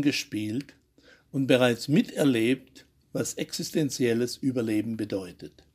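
A man's voice at medium pitch, dark and mellow in tone, at a very slow pace. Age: 80s+. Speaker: journalist, radio commentator. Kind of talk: scripted commentary.

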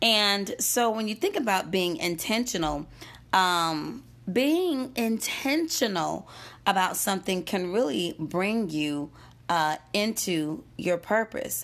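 The speaker talks very slowly in an American accent with lively intonation and very even loudness. The recording is very clean, with a silent background. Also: woman, medium pitch for a woman. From US South, Gastonia, North Carolina. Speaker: podcast host, motivational speaker. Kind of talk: motivational monologue. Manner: animated.

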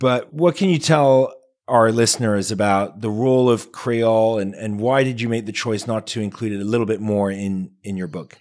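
On a very clean recording with a silent background, a man of medium pitch speaks at a moderate pace with hardly any pauses, ordinary pitch variation and an ordinary speaking voice. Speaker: podcast host. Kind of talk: interview.

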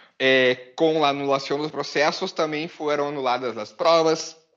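A man talks in an ordinary speaking voice at a fairly high pitch. His intonation is fairly even and his pace moderate. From Brazil. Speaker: lawyer and political activist. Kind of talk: interview answers on Twitter Space.

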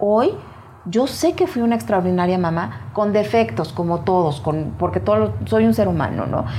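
With audible room echo, a woman speaks at a moderate pace in a fairly low pitch, her voice making very wide pitch swings. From Mexico. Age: 50s. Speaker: motivational speaker and author. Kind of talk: interview testimony.

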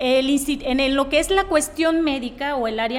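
A woman talks with ordinary pitch variation. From Mexico, Tepic, Nayarit. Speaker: medical doctor. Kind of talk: interview.

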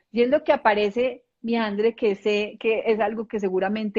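Speaking at a very slow pace, the woman has a fairly high pitch. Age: 40s. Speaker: ontological coach. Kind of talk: casual chat.

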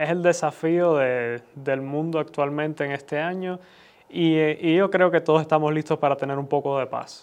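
This man's fairly high voice holds fairly even intonation at a moderate speed. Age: 20s. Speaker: son of the host, commentator. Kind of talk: conversational discussion. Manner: halting, repeats words.

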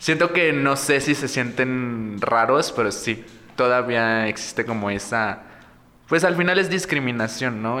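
Speaking with a Mexican accent, a man keeps a medium pitch and a fairly slow pace, with ordinary pitch variation. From Mexico, Morelos. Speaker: drag performer. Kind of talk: casual chat.

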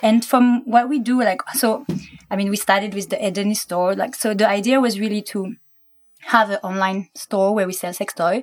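A woman's fairly high voice with a French accent, fairly even intonation and a moderate pace. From France. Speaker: business co-founder. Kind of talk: casual chat.

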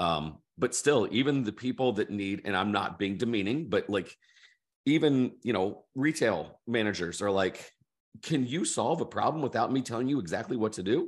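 Here is a man with an unremarkable speaking voice at a medium pitch. He talks at a moderate pace with lively intonation on a very clean recording with a silent background. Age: 50s. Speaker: author and education entrepreneur. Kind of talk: casual interview conversation.

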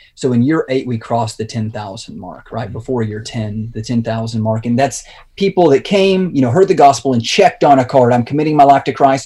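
Speaking fairly quickly with hardly any pauses, a man with an American accent uses lively intonation at a medium pitch, his dark, mellow tone somewhat breathy and his loudness swinging widely. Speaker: pastor. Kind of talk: interview.

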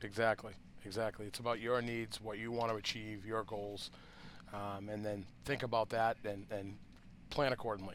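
A man's fairly low voice in a Boston accent, at a moderate pace with monotone, flat intonation. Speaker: cannabis grower podcast host. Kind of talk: casual unscripted chat between two growers. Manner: relaxed, loose, filler-heavy.

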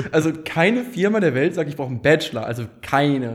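A man talks in a fairly high pitch. His voice is somewhat breathy. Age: 20s. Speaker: startup founder and managing director. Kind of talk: casual chat.

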